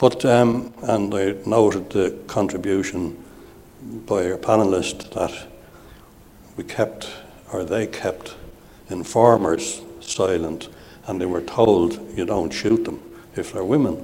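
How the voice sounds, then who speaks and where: Very slowly and with long, frequent pauses, a man speaks in a very deep, low voice with ordinary pitch variation. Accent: Irish. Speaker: audience member. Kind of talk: audience question. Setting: stage with audience.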